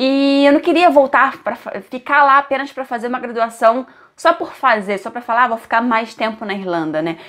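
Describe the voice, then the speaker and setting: A high-pitched woman with a Brazilian accent, lively intonation and a moderate pace. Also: quiet background. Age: 20s. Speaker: vlogger. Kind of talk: casual vlog talking to camera.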